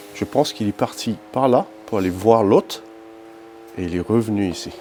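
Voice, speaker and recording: A man with a fairly low voice speaks at a moderate pace, his pitch rising and falling in the ordinary way. Music plays in the background. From South Africa. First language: English (speaking French). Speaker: paranormal investigator. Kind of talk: commentary explaining footage.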